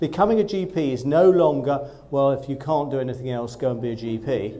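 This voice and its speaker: Against audible room echo, a man with a fairly high pitch and a dark, mellow tone speaks at a fairly quick pace. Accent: slight Essex. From Essex, Southend-on-Sea. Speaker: GP and training program director. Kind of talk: presentation to trainee doctors. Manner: enthusiastic.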